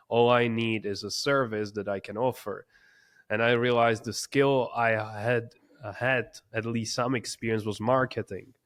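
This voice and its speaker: With a non-native accent, a man speaks at a moderate pace and medium pitch in a monotone, flat intonation, on a very clean recording with a silent background. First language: not English. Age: 20s. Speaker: entrepreneur. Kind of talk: interview.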